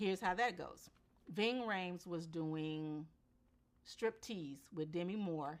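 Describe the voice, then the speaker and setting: An animated American accent with ordinary pitch variation. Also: woman, fairly low pitch for a woman. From US South, Memphis, Tennessee. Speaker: actress. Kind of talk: casual chat.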